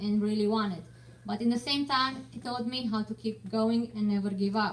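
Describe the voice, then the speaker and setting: A woman with a Romanian accent, fairly high pitch, ordinary pitch variation and a moderate pace, over noticeable background noise. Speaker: martial arts student, parent. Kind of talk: prepared speech.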